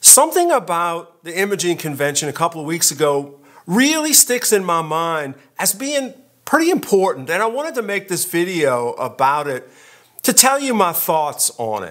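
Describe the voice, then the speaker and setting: This man's voice sits high for a man and swings very widely in pitch, with a relaxed tone at a moderate pace. The recording is very clean, with a silent background. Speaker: photography youtuber. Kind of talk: casual vlog talk. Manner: conversational, relaxed.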